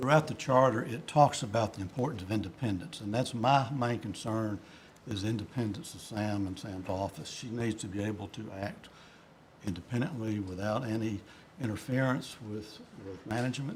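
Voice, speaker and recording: This man's medium-pitched voice is somewhat breathy. He speaks at a moderate pace with ordinary pitch variation. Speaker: state school board member. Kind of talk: board meeting discussion. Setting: board meeting room. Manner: halting, many fillers. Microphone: too quiet, not speaking into microphone.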